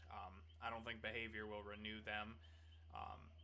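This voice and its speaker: A man is speaking. His pace is moderate. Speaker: gaming content creator. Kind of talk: casual unscripted commentary. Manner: casual, conversational with fillers.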